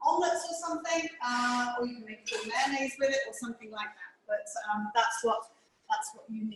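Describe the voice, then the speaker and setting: Her pitch high and its variation ordinary, a woman speaks. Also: big swings in loudness. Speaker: cooking teacher. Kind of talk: tutorial. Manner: fast.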